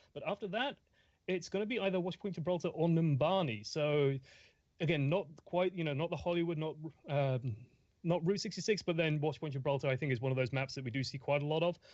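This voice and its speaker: A man's fairly high voice with an English accent, very fast, with ordinary pitch variation over a quiet background. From England. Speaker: esports caster. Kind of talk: live commentary.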